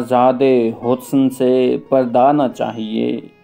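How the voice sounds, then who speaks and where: There is music in the background as a man speaks in a monotone, flat intonation. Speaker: poetry reciter. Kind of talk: poetry reading.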